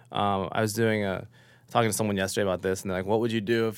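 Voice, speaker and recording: This very clean recording has a silent background. A man with an American accent speaks at a fairly low pitch and a very fast pace. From US. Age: 40s. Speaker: chef. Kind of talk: interview.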